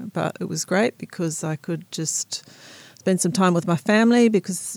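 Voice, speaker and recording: A woman with an Australian accent, dark and mellow in tone, in a dry, close recording with no echo. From South Australia, rural. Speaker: winemaker. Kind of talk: interview. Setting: studio.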